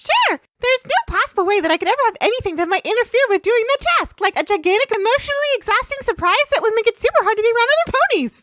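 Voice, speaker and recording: This put-on character voice sounds female, pitched extremely high. It races along at a very fast pace. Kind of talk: comic overacting. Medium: game stream. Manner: fast, excitable.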